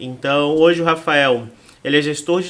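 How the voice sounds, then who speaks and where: Using a Florianópolis accent, a man speaks fairly slowly at a fairly high pitch with fairly even intonation. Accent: Florianópolis area (manezinho). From Santa Catarina, Brazil (Palhoça). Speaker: podcast host. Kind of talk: podcast interview.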